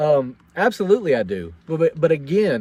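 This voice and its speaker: A man with a Tennessee accent, fairly high-pitched and with lively intonation, in a dry, close sound with no echo. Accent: Southern US (Tennessee). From US South, Franklin, Tennessee. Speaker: military veteran and vlogger. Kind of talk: casual livestream monologue. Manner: halting, many repeated words.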